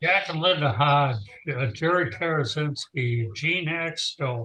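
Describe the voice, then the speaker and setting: A man talks at a very slow pace, his pitch fairly high with ordinary variation. His tone is bright and sharp. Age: old. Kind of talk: casual chat.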